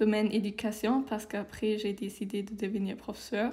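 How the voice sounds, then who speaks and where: In a German accent, a woman speaks with a dark, mellow tone at a fairly high pitch. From Germany. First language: German (speaking French). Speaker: civic service volunteer. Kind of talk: interview.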